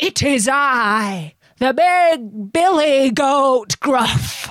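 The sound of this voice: A woman uses a put-on character voice with a high pitch. She speaks at a very slow pace.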